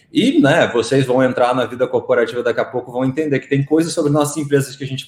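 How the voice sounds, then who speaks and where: Speaking at a very fast pace, a man with a fairly high pitch sounds somewhat breathy. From Rio de Janeiro, Brazil. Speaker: marketing executive. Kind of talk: live online talk interview.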